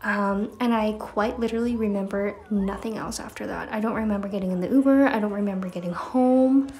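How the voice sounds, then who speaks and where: A woman talks at a fairly quick pace with hardly any pauses. Her pitch is fairly high and her intonation fairly even. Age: 20s. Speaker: lifestyle vlogger. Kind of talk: casual vlog. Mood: cheerful, playful.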